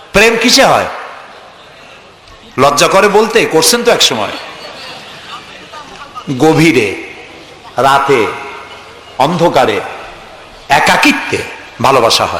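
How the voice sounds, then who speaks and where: Noticeable background noise sits behind a man speaking. His pitch is high and swings very widely. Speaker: Islamic preacher. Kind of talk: Islamic sermon (waz).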